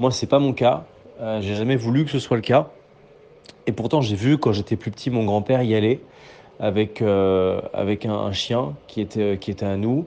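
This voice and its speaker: A man speaks at a moderate pace in a fairly low, dark, mellow voice. He takes long, frequent pauses. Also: ordinary pitch variation. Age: 20s. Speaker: political journalist. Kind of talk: casual voice messages.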